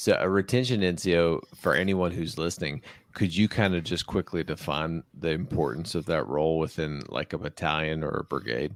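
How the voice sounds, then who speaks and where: In a very clean recording with a silent background, a man with a very deep, low voice and vocal fry talks at a fairly quick pace with hardly any pauses and ordinary pitch variation. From West Virginia. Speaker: podcast host, army officer. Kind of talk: interview conversation.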